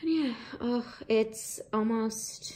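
This woman has a normal speaking voice, fairly high in pitch with ordinary pitch variation. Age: 30s. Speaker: vlogger. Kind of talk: casual chat.

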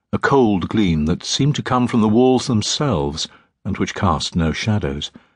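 Lively intonation and a dramatic tone over a quiet background. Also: man. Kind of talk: audiobook narration of a dark fantasy novel, read aloud. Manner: measured, brooding storytelling pace with dramatic pauses.

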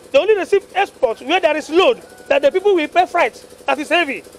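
A man with an extremely high pitch and a Nigerian accent, very fast pace and lively intonation, over light background noise. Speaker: truck owner. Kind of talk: street interview. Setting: outdoors. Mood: aggrieved, complaining. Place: street. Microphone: handheld.

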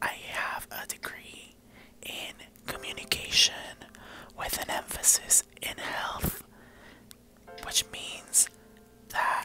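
Whispering at a very slow pace with long, frequent pauses, a man speaks over faint background music. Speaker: vlogger. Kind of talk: ASMR vlog talk to camera. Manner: whispered. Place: home room. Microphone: lapel.

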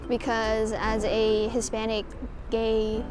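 A woman is speaking with noticeable background noise. The sound is dry, with no echo. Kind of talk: interview answer. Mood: calm, reflective. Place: cafe. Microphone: lapel.

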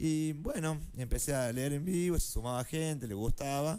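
A man talks at a moderate pace with lively intonation. His tone is dark and mellow. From Argentina, Córdoba; Argentina. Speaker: library science student and poet; guest, poet. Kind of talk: interview; interview answer. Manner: halting, many fillers. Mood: relaxed, friendly. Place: studio. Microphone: studio mic.

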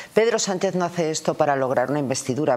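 Speech comes at a very fast pace. Its pitch variation is ordinary. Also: woman. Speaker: local politician, commentator. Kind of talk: political commentary. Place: studio. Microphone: lapel.

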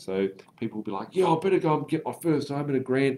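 Over light background noise, a man speaks with an Australian accent. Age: 30s. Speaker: property investment educator. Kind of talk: live stream Q&A. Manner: casual, filler-heavy.

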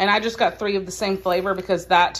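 The pace is moderate. The speaker is a woman. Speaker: home vlogger. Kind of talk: casual vlog chat. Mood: cheerful, relaxed. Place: home room. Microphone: phone near.

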